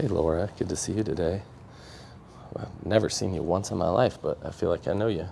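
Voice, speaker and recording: A man talks at a fairly quick pace with a very deep, low pitch. Noticeable background noise can be heard. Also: ordinary pitch variation. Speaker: epoxy craftsman and live stream host. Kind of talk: livestream craft demo with chat. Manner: casual and chatty.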